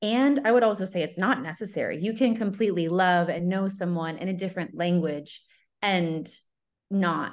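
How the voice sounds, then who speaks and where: With a plain, everyday voice, a woman of fairly low pitch speaks at a moderate pace with ordinary pitch variation over a quiet background. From upstate New York, US. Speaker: love coach. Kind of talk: casual interview conversation.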